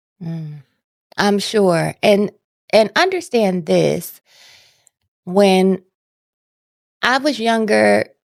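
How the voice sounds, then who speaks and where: Speaking at a very slow pace with long, frequent pauses, a woman talks with an American accent. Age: 40s. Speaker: patient sharing her story. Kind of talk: testimony.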